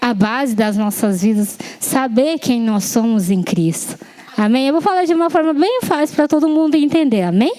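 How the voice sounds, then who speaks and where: Over noticeable background noise, a woman with a Japanese accent speaks at a moderate pace and a high pitch, with lively intonation. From Japan, Yamanashi. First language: Japanese (speaking Portuguese). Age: 20s. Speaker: lay preacher. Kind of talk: sermon. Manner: halting, with self-corrections and fillers.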